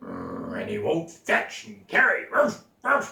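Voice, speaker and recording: A man puts on a growling character voice at an extremely high pitch. He speaks at a very slow pace with a slight echo. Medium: read story. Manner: barking, eager.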